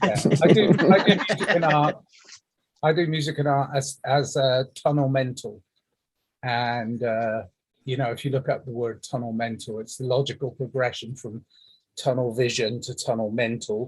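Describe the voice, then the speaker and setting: A man speaks in a somewhat breathy, medium-pitched voice at a moderate pace. Long, frequent pauses break up his speech. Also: ordinary pitch variation. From England. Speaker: musician. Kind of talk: casual chat. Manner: halting.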